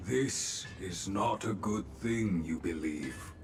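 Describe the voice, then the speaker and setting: A man uses a put-on character voice, very deep and low in pitch with a calm tone. He talks at a very slow pace over clear background noise. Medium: video game. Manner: calm, inverted word order.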